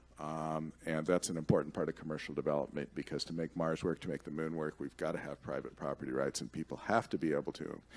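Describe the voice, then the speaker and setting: With vocal fry, a man talks in a very deep, low pitch. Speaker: commercial space policy expert and conference speaker. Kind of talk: conference talk with audience Q&A. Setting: stage with audience. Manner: conversational, with frequent fillers and repetitions. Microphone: podium.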